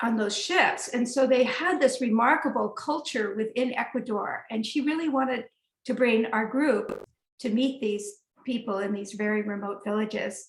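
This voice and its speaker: Speaking at a moderate pace with an American accent, a woman has a fairly high pitch, ordinary pitch variation and an ordinary speaking voice. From United States. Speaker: herbalist and trip leader. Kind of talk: storytelling in a webinar conversation. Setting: webinar.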